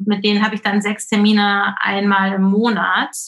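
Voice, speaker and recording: A woman's medium-pitched voice, monotone and flat in intonation, moves at a moderate pace. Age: 40s. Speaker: intuitive eating coach. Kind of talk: interview.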